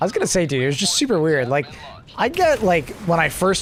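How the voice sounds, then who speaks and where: Noticeable noise fills the background. Over it, a man talks very rapidly. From Canada. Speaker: gaming livestreamer. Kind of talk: casual chat. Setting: live stream. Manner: animated.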